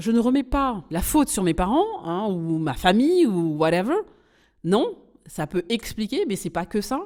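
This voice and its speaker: A woman speaks at a fairly slow pace in a medium pitch with very wide pitch swings, on a very clean recording with a silent background. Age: 40s. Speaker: podcast host and business coach. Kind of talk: casual podcast monologue. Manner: halting, many fillers.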